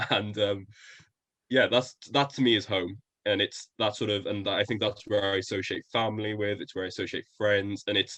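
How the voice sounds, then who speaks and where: A man with a Welsh accent, fairly low in pitch, in a flat monotone at a moderate pace. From Wales, coastal area. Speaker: podcast guest, university student. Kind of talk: casual interview chat.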